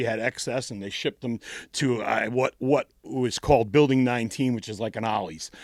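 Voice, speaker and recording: In a New England accent, a man talks at a moderate pace and medium pitch, the recording very clean with a silent background and a dry, close sound with no echo. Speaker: punk band frontman and singer. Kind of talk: casual interview chat, storytelling. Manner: halting, many repeated words.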